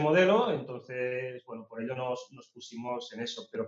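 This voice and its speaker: A man talking at a fairly quick pace. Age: 30s. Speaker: e-commerce entrepreneur. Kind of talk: interview. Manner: halting.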